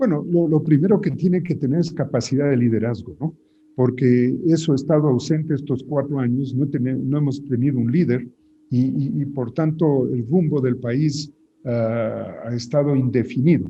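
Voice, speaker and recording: A somewhat breathy man's voice, fairly high in pitch, at a moderate pace with ordinary pitch variation. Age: 70s. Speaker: politician. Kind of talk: interview. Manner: hesitant, with filler sounds and repeated words.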